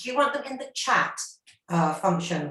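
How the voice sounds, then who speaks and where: A woman's mid-pitched voice moving fairly quickly, room echo audible around it. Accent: British. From England, London. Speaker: university marketing staff. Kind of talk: webinar presentation.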